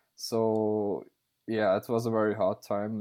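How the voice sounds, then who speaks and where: A man's voice, fairly low in pitch. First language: Russian. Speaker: author. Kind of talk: casual interview. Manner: halting, many fillers.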